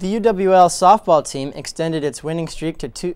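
The sound is dry, without any echo. A man speaks at a moderate pace. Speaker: student sports anchor. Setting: campus TV studio. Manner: clear, measured, formal newsreader delivery. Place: studio. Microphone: lapel.

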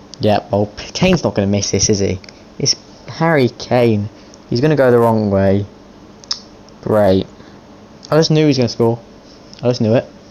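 A man's medium-pitched voice at a moderate pace, with ordinary pitch variation, long, frequent pauses and noticeable background noise. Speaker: gaming YouTuber. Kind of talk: live commentary over video game football match. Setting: gaming video with voiceover. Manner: informal, chatty, addressing viewers and players as 'mate'.

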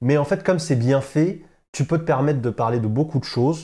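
A man speaks at a fairly quick pace, somewhat breathy. His tone is dark and mellow. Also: quiet background. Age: 20s. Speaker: tech news streamer. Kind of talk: casual chat. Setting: studio. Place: studio.

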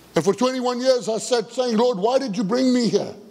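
Quiet surroundings and a man's voice with ordinary rises and falls in pitch. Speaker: pastor. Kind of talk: sermon. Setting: church. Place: church. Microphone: headset.

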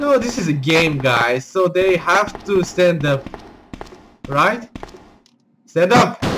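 Noticeable background noise sits behind a man speaking at a very slow pace. His pitch swings very widely. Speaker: gamer. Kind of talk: gameplay commentary. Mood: amused, playful. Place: home room.

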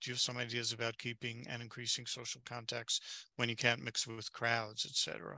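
A man speaks at a moderate pace in a monotone, flat way, his bright, sharp tone marked by vocal fry, with a dry, echo-free sound and a quiet background. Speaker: webinar moderator. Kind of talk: webinar moderation. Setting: video call. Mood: friendly, relaxed. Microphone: headset.

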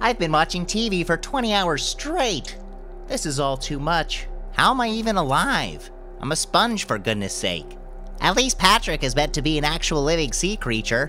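A man's put-on character voice at a moderate pace, with clear music in the background. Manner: weary, exasperated.

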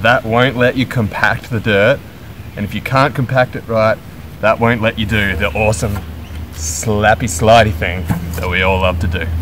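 Moderate pace and ordinary pitch variation, with music in the background. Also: man, fairly low pitch for a man. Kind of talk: tutorial. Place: garden.

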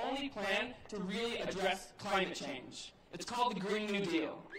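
Loud background noise and audible room echo surround a woman talking at a moderate pace. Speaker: campaign organizer. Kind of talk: rally speech. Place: stadium. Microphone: podium.

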